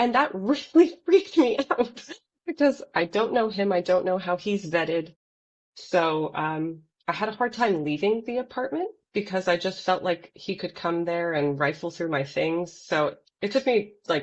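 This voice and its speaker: A woman with an American accent and a normal speaking voice, medium in pitch, at a moderate pace with lively intonation. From Los Angeles, US. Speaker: poet, podcast guest. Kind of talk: casual interview chat.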